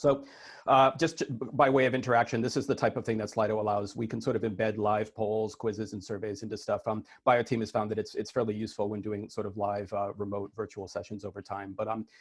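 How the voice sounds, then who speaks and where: A man's very fast speech at a fairly low pitch, with fairly even intonation and hardly any pauses. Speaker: IT consultant giving conference keynote. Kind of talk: conference keynote talk. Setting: virtual conference over video call. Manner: hesitant, many fillers.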